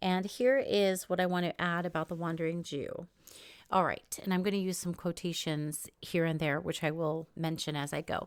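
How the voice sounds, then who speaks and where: This woman has an ordinary speaking voice with an American accent and a fairly low pitch. She talks at a moderate pace with fairly even intonation. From New York and Israel. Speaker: podcast host and author. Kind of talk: podcast interview; scripted narration. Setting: remote call.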